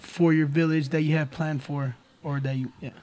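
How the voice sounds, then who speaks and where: A man's voice over noticeable background noise. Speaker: podcast host. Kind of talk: casual chat. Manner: animated.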